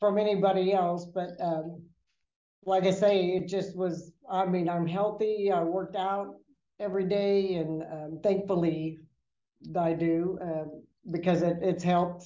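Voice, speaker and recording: A woman speaks fairly slowly at a fairly low pitch, in a monotone, flat intonation. Audible room echo surrounds her voice. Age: 60s. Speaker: registered nurse. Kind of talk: casual health interview.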